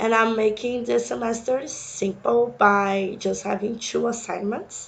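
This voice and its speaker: A woman's fairly high voice moves at a fairly slow pace with fairly even intonation. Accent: Brazilian. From Brazil, Sao Paulo. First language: Portuguese. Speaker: university instructor. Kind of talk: course introduction lecture.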